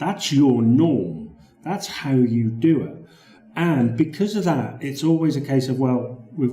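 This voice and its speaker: A man with a British accent speaks with lively intonation. Audible room echo and noticeable background noise surround his voice. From Britain. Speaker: Microsoft Word consultant. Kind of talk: sales pitch. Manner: conversational, with repetitions.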